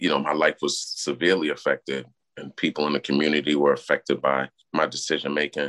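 In a dry, close recording with no echo, a man with a Brooklyn accent talks at a very fast pace in a very deep, low pitch, using a monotone, flat intonation with vocal fry. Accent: New York (Brooklyn). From Brooklyn, New York City. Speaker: criminal justice advocate, formerly incarcerated. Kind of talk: interview.

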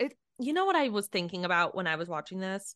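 Fairly quick female speech with vocal fry and a bright, sharp tone, in a dry, close sound with no echo and a quiet background. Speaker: podcast co-host. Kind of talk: casual chat.

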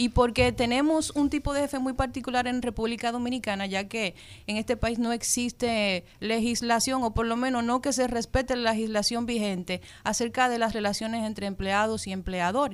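A woman's plain, everyday voice, fairly high in pitch, at a moderate pace with fairly even intonation. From Dominican Republic. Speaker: radio co-host. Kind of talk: radio talk show.

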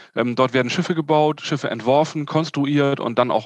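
A man speaks in a normal speaking voice at a moderate pace. His pitch is fairly high, with ordinary variation. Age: 40s. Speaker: yacht sales manager. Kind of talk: interview.

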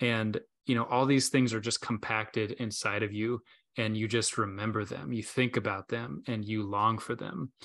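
The voice belongs to a man with an unremarkable speaking voice. His pitch varies in an ordinary way. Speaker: podcast co-host. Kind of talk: casual faith chat.

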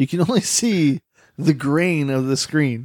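A man speaks at a moderate pace. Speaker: podcast host. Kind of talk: casual banter about fantasy football. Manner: profane, jokey.

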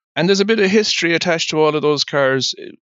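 The speaker is a man with an Irish accent. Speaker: insurance broker. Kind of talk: interview.

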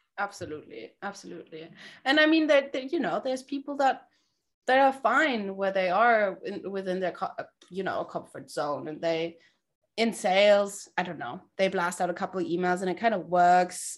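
At a moderate pace, a woman with a German accent speaks at medium pitch on a very clean recording with a silent background. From Germany, Berlin. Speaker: sales community founder. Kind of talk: interview.

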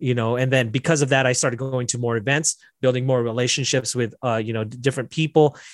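In a dry, close sound with no echo and a quiet background, a man with an American accent talks very fast at a medium pitch with fairly even intonation. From Las Vegas, US. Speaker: software developer, business owner. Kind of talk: casual interview.

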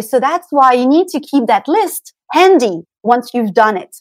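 A woman speaks in a French accent. Her pitch swings very widely. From France, Paris. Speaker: pilates instructor and beauty coach. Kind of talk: interview.

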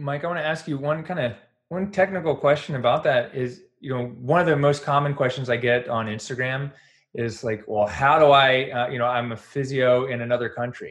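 With an American accent and a plain, everyday voice, a man talks at a fairly quick pace and medium pitch, his pitch varying in an ordinary way. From North Carolina. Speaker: podcast host, physical therapist and business coach. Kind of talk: interview.

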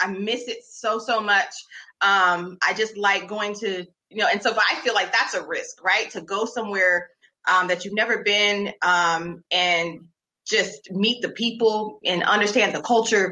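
A woman speaks at a fairly slow pace in an ordinary speaking voice, her fairly high pitch moving with ordinary variation. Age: 40s. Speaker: educator, podcast host. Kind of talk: interview.

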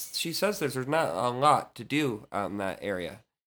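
In a General American accent, a bright, sharp voice moves at a moderate pace with very wide pitch swings, in a very clean recording with a silent background. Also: man. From northern Virginia, Loudoun County. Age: 30s. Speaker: singer-songwriter. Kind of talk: casual chat. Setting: apartment with construction noise.

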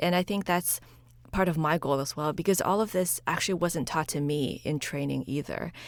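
A woman's very deep, low voice with a Chinese accent and vocal fry, moderate pace, ordinary pitch variation, and a very clean recording over a silent background. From China, moved to US at eleven. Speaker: pediatrician and podcaster. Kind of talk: interview conversation.

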